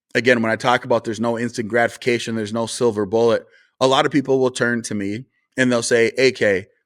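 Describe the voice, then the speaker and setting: In a North Dakota accent, a man speaks at medium pitch in a flat monotone at a very fast pace, on a very clean recording with a silent background. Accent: sounds like North Dakota. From rural North Dakota. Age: 40s. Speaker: conservative commentator and party official. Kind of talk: interview conversation.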